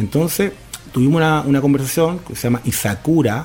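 Noticeable noise is present behind the voice. The delivery is neither fast nor slow, at a moderate pace. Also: man. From Argentina, Tierra del Fuego. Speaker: business founder. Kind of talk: radio interview.

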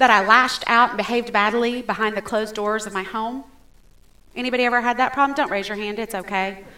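A woman talks at a very fast pace in a fairly high, bright, sharp voice with fairly even intonation. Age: 40s. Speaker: pastor. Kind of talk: sermon.

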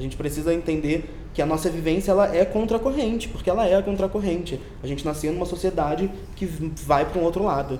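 A man with a high voice talks at a fairly quick pace, with audible room echo and noticeable background noise. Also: ordinary pitch variation. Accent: Carioca. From Rio de Janeiro. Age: young. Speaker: magazine editor. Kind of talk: casual chat.

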